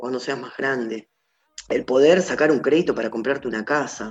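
This is a man's voice. His pitch sits fairly high. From Argentina, Entre Ríos (Gualeguaychú). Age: 30s. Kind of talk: personal testimony interview. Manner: halting, with fillers and repetitions.

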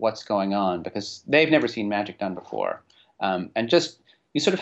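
Lively intonation marks an unforced reading voice. The background is quiet.

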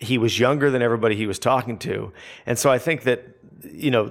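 This man has a West Coast US accent and a medium pitch, speaking fairly quickly with fairly even intonation. The recording is very clean, with a silent background. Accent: General American (West Coast). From Southern California. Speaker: photographer and interviewer. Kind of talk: interview conversation.

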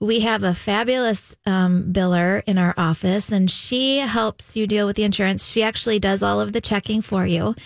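A woman with a normal speaking voice at a medium pitch, moderate pace, hardly any pauses, fairly even intonation and very even loudness, on a very clean recording with a silent background. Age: 40s. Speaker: women's health clinic doctor. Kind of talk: casual chat.

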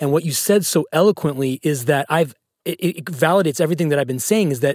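A man with an unremarkable speaking voice talks at a fairly high pitch, recorded with a dry, close sound and no echo. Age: 30s. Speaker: podcast host. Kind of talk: interview. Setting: studio.

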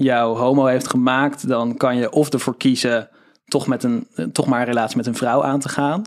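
A plain, everyday voice from a man at medium pitch. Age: 20s. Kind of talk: interview. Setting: studio.

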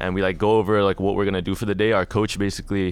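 A man with a Toronto accent talks at a very fast pace with a fairly low pitch and fairly even intonation. The recording is very clean, with a silent background. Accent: Canadian (Toronto). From Canada, Toronto. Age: 20s. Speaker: professional esports player. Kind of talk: casual chat.

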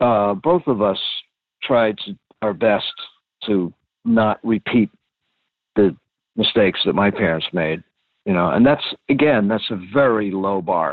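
Fairly slow and fairly low-pitched, a man speaks with long, frequent pauses. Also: ordinary pitch variation. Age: 60s. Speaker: interviewee, reporter's father. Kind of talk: casual family interview. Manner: halting.

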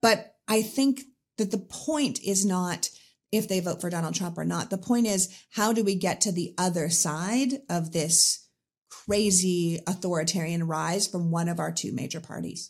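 The woman's voice has a somewhat breathy quality. She talks at a fairly slow pace. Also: medium pitch for a woman, ordinary pitch variation. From Canada. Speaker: political commentator and podcaster. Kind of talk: interview conversation.

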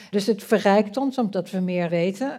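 Using a normal speaking voice, a woman of medium pitch talks at a fairly slow pace. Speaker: politician and political scientist. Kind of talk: panel discussion. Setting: stage with audience.

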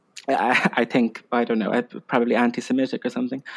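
A man with an Irish accent talks at a moderate pace with ordinary pitch variation. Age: 20s. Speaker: Instagram humorist and film fan. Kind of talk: casual chat. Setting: video call.

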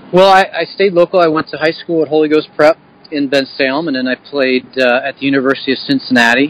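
A man with a Philadelphia accent at a very fast pace, fairly high-pitched, over noticeable background noise. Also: ordinary pitch variation, dry, close sound with no echo. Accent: Philadelphia-area American. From Bucks County, Pennsylvania (Philadelphia area). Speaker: baseball hitting coach and former pro player. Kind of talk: interview.

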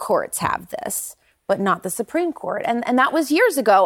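This woman talks at a fairly quick pace. Her pitch swings very widely. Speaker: news panelist. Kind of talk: TV news panel discussion.

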